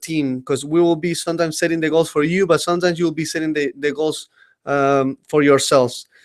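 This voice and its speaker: A man with a strong Uruguayan accent, high-pitched for a man, at a moderate pace with fairly even intonation. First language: Spanish. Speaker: company trainer presenting to staff. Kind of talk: webinar presentation. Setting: online webinar. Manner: halting, many fillers.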